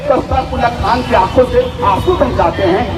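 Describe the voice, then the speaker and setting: Crowd noise fills the background as a man speaks. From Gujarat, India. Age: young. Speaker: poet. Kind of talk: protest rally speech. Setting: outdoors. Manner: bold, outspoken.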